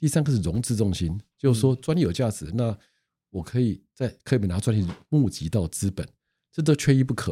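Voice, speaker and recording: On a very clean recording with a silent background, a man with medium pitch and a dark, mellow, somewhat breathy tone speaks at a fairly quick pace with lively intonation. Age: 60s. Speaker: patent attorney. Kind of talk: casual interview.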